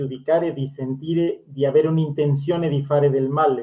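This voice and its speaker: A man's voice at a fairly quick pace. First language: Spanish (speaking Italian). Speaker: language school host. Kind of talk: interview.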